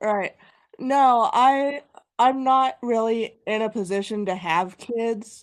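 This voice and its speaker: A woman speaks very slowly in a Kansas accent, her fairly high voice moving with ordinary pitch variation against a quiet background. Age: 30s. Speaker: guest on live stream. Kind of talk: casual chat.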